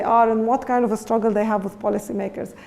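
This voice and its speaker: A woman speaks very fast at a fairly high pitch. Noticeable background noise and audible room echo fill the recording. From Lebanon. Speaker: education researcher. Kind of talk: lecture. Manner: halting.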